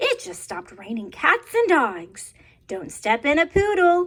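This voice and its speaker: A put-on character voice, raised and projected, at an extremely high pitch. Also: moderate pace. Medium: read story. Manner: cheerful, playful.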